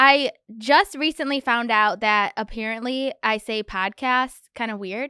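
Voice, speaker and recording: With a Michigan accent, a woman speaks at a fairly high pitch with ordinary pitch variation and a bright, sharp tone. The sound is dry and close, with no echo. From Michigan, US. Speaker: podcast host. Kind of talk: solo podcast talk.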